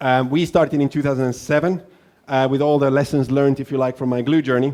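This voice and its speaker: A man's fairly high-pitched voice, monotone and flat, at a very fast pace. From Finland. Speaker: entrepreneur. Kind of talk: keynote speech. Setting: stage with audience.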